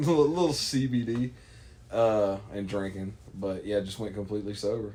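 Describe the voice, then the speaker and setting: A man talks at a fairly slow pace in a fairly low voice with ordinary pitch variation. Audible room echo is present. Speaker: podcast guest. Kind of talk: casual chat. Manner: stuttering at times.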